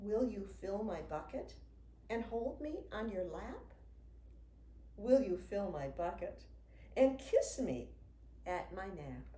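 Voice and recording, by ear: A woman speaks slowly at a medium pitch with a dark, mellow tone, big pitch swings, and long, frequent pauses.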